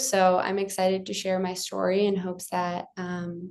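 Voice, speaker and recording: Her words come out at a very slow pace. She has an American accent. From Ukraine, then adopted to the US at 11. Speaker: UX designer and adoption advocate. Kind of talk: interview. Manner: hesitant, many fillers.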